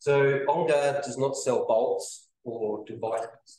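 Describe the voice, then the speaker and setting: A man talks with a New Zealand accent. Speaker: company representative presenting engineering product. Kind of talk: business presentation.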